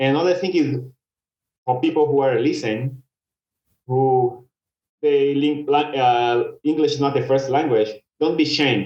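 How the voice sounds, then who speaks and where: With a Brazilian accent, a man speaks at a moderate pace in a fairly high pitch and with fairly even intonation. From Brazil, Belo Horizonte. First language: Portuguese. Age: 30s. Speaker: commercial pilot. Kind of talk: podcast interview. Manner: halting, repeats words.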